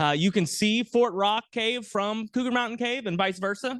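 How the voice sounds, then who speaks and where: Loud, high-pitched male voice at a moderate pace. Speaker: archaeologist, guest lecturer. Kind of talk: lecture. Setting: planetarium with audience, mic.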